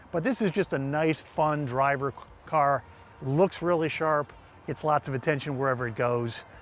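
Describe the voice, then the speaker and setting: A fairly high-pitched man at a fairly quick pace, with fairly even intonation. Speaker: Porsche restoration shop owner. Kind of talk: interview answer.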